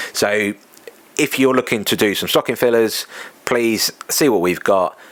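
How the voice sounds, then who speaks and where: A man's medium-pitched voice with an English accent. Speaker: podcast host and running event organiser. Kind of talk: casual solo podcast monologue. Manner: conversational, with fillers.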